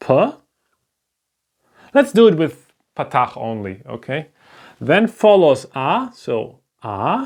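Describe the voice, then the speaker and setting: The speaker talks at a very slow pace with a German accent, pausing long and often. The recording is very clean, with a silent background. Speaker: language teacher. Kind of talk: lecture. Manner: halting.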